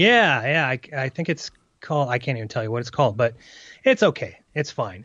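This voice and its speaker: A man with a plain, everyday voice speaks at a fairly quick pace and medium pitch, his intonation lively. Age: 30s. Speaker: podcast host. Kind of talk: casual chat.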